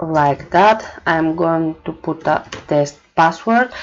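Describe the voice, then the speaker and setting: Using lively intonation, a woman with a fairly low pitch speaks at a very slow pace. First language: not English. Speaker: marketing manager. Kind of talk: tutorial. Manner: hesitant, many fillers.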